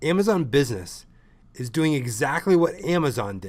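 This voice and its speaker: Loud and animated, a man speaks at a moderate pace with very wide pitch swings on a very clean recording with a silent background. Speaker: ecommerce consultant. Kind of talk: lecture.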